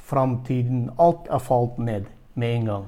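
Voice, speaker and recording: A man's medium-pitched, dark, mellow voice at a very slow pace with fairly even intonation. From Turkmenistan. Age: 40s. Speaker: church leader, missionary. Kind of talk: interview. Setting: video call. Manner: halting.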